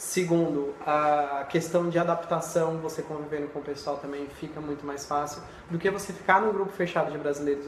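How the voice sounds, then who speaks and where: Noticeable noise fills the background. The delivery keeps a moderate pace. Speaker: medical student. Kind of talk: casual chat. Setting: live video call.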